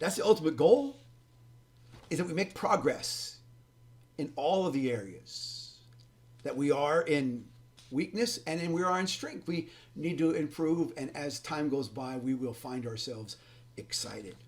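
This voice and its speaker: A man speaks with fairly high pitch and lively intonation. He leaves long, frequent pauses. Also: fairly slow pace. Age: 60s. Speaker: pastor and ministry leader teaching church leaders. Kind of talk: recorded teaching lesson. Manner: preachy, informal with hesitations.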